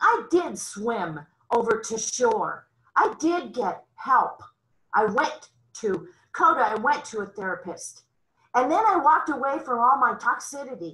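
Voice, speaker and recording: A woman speaks at a fairly slow pace in a high voice with very wide pitch swings. Her tone is bright and sharp. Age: 60s. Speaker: twelve-step meeting speaker. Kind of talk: testimony. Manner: animated.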